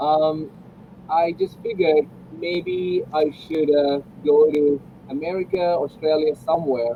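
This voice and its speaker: Here a man talks at a very slow pace. His pitch is fairly high. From India, Kerala (Kochi). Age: 40s. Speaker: music producer. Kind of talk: casual conversation.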